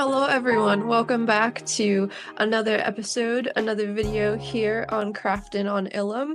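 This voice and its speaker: Music plays in the background as a woman with a fairly high pitch speaks at a moderate pace with fairly even intonation. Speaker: Star Wars craft and convention vlogger. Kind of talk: casual vlog review. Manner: hesitant with many fillers.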